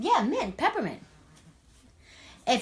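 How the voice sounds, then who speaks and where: A woman speaks with a New York accent. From New York City. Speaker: wellness coach. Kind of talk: cooking demo live chat. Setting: home kitchen, live stream. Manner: casual, chatty.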